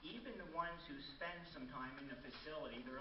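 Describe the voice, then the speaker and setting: A man talks at a fairly quick pace, his voice carrying audible room echo amid noticeable background noise. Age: 70s. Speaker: resident giving public comment. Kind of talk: public comment at city council. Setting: city council meeting.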